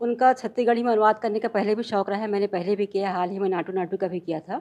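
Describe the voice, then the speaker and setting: Dark, mellow tones from a woman, with a quiet background. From Chhattisgarh, India. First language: Chhattisgarhi (speaking Hindi). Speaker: professor and lyric translator; professor. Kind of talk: interview. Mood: calm, proud of work. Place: home room. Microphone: handheld.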